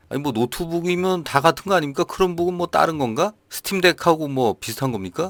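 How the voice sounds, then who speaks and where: A man's high-pitched voice at a fairly quick pace with hardly any pauses and ordinary pitch variation, dry and close with no echo, on a very clean recording with a silent background. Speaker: gaming news youtuber. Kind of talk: news roundup with casual commentary. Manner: conversational.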